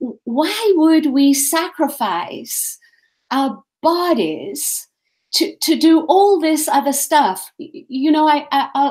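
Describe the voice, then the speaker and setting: A woman speaks at a very slow pace. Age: 70s. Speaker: spiritual teacher. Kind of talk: interview conversation.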